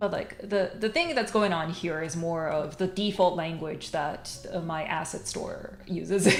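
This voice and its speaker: Hardly pausing, a woman with a Japanese accent speaks at a fairly low pitch with ordinary pitch variation, amid audible room echo and noticeable background noise. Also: fairly slow pace. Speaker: streamer and comic artist. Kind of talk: casual livestream chat. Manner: hesitant, many fillers.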